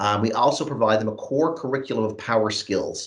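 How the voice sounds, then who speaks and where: This man has a normal speaking voice at medium pitch. He talks at a moderate pace. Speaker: youth training program lead. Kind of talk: presentation at an online event. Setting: video call.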